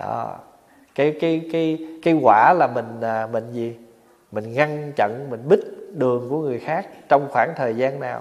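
A man talks at a very slow pace, with long, frequent pauses. His pitch varies in an ordinary way. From Vietnam. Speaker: Buddhist monk; monk teacher. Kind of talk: dharma talk. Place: hall.

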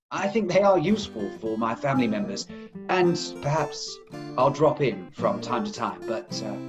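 Clear music plays behind the speech. The man talks at a moderate pace. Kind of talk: scripted comedy sketch dialogue. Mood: grateful, wrapping up. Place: home room. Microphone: video call.

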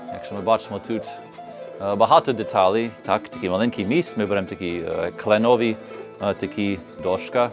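A man with a non-native accent talks at a moderate pace and a fairly low pitch. Music plays in the background. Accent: noticeable foreign accent in Ukrainian. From United States. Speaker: bandura player and instrument maker. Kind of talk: explaining his craft on camera.

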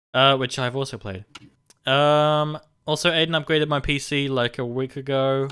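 This is a man with an unremarkable speaking voice, fairly high in pitch. He speaks at a moderate pace with fairly even intonation. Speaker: podcast host. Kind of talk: casual chat. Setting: video call.

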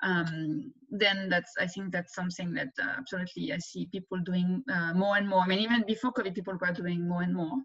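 Fairly quick speech with hardly any pauses and ordinary pitch variation, over a quiet background. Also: woman, medium pitch for a woman. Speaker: economics professor. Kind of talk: interview Q&A. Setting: video call. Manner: fast talker. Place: home room. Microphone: webcam.

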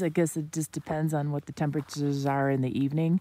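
A woman speaks with a very deep, low pitch at a moderate pace. Her tone is dark and mellow, and the sound is dry with no echo. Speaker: solo bikepacking vlogger. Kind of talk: casual vlog chat. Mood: grumpy but laughing. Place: waterside. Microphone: phone near.

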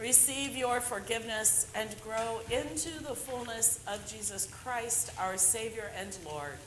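Noticeable background noise sits behind a woman's voice. She speaks fairly slowly, with ordinary pitch variation. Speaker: minister leading worship. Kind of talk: liturgical prayer reading. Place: church.

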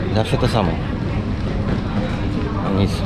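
A man speaks with crowd noise in the background. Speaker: travel vlogger. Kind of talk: casual vlog chat. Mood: mildly annoyed. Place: hall. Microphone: phone near.

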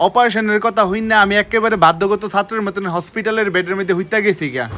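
A man speaks in a high, raised, projected voice with fairly even intonation. Noticeable background noise runs behind him. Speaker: comedic vlogger. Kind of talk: comedic storytelling vlog.

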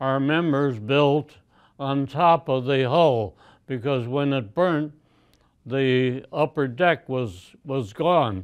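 Against a quiet background, a man with an American accent speaks at a very slow pace with ordinary pitch variation. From Chicago, United States. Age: 80s+. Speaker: yacht club commodore, Sea Scouts leader. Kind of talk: interview answer. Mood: reminiscing, calm. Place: home room.

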